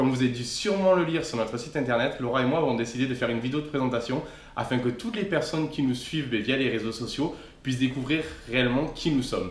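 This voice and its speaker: A man at medium pitch speaking very fast with ordinary pitch variation, amid noticeable background noise and audible room echo. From southern France, Aude (Castelnaudary area). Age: 20s. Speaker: travel vlogger. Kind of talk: scripted humorous self-introduction.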